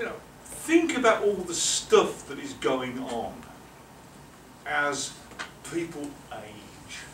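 A man with an English accent at a high pitch, very slow pace, very wide pitch swings, big swings in loudness and long, frequent pauses, with audible room echo and light background noise. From England. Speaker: professor. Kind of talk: lecture. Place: meeting room. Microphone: camera far.

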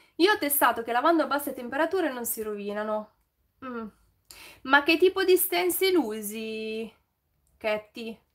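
A high-pitched woman's voice at a moderate pace, with very wide pitch swings, big swings in loudness and long, frequent pauses over a quiet background. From Milan, northern Italy. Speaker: YouTuber, DIY and home tips creator; YouTuber, home tips creator. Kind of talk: casual live stream chat with viewers. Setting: live stream. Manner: chatty, improvised. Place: home room.

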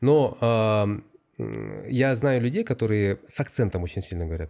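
Against a quiet background, a man's dark, mellow tone carries lively intonation. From Kyrgyzstan. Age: 30s. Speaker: corporate strategy director; podcast guest. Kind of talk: interview. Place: studio. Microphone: studio mic.

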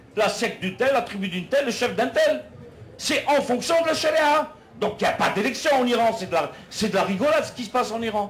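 A man with an extremely high pitch, a fairly quick pace and lively intonation. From Algeria. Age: 60s. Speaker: political activist; speaker. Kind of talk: public debate speech. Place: tent.

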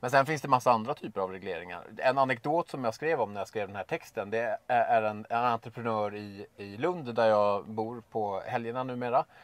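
At a moderate pace and with hardly any pauses, a man speaks with ordinary pitch variation in a dry sound with no echo. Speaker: guest. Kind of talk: interview answer. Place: car.

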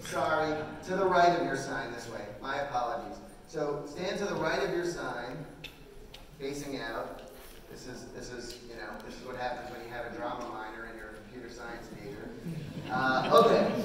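Through noticeable background noise and strong room echo, a man's voice swings widely in loudness. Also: ordinary pitch variation, moderate pace. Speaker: conference presenter. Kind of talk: live presentation, directing volunteers. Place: hall.

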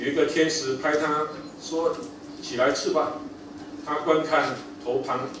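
There is noticeable background noise and audible room echo. A man speaks at a very slow pace. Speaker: preacher reading scripture. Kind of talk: scripture reading in a sermon. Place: church.

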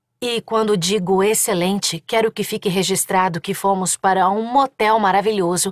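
Sounding animated and furious, a woman talks at a moderate pace with ordinary pitch variation, the sound dry and close with no echo. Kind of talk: audiobook narration, dramatized first-person fiction. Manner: animated, emotional, shifting from furious shouting to comic, teasing dialogue.

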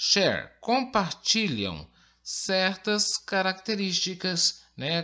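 High in pitch, a man speaks at a very slow pace. His tone is bright and sharp, over a quiet background. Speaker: school English teacher. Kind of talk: lecture. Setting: recorded online lesson with on-screen text.

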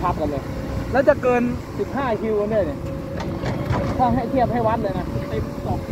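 Loud noise fills the background. There is no echo, leaving the sound dry. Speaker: dump truck driver vlogger. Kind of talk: casual vlog chat. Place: open country. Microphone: phone near.

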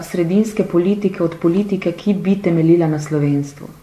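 Fairly even intonation amid audible room echo. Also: woman. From Slovenia. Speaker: politician. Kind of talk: interview. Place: studio.

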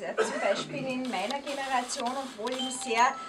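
Intonation stays fairly even at a moderate pace. Background noise is clearly audible. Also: woman.

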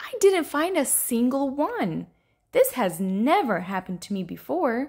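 A woman puts on a character voice with a high pitch, big pitch swings, a slightly mellow tone with a slightly husky edge, and a fairly slow pace.

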